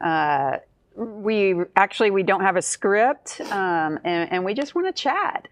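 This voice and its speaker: A woman speaks at a medium pitch and a fairly slow pace, with lively intonation. It is a plain, everyday voice. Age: 60s. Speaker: mental health counselor. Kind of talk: casual chat.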